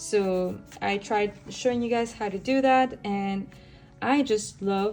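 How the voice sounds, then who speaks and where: A woman's medium-pitched voice. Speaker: art youtuber. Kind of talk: sketchbook tour talk. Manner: casual, rambling.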